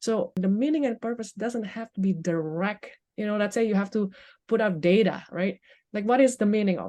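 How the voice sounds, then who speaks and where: A woman's dark, mellow voice at a medium pitch, with a non-native accent, a fairly quick pace and ordinary pitch variation, over a quiet background. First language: not English. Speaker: life coach. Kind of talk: podcast interview. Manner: halting.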